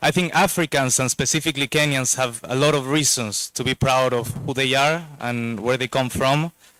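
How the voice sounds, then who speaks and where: A man with a Spanish accent, a bright, sharp tone and fairly even intonation, in a dry, close sound with no echo and a very clean recording over a silent background. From Spain. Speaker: investor, board director. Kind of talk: speech at a launch event. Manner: hesitant, repeats words.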